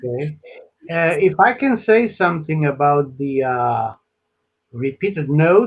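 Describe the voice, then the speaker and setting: A man's somewhat breathy, fairly high voice with lively intonation, at a fairly slow pace with long, frequent pauses. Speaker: composer and pianist. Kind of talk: piano teaching advice.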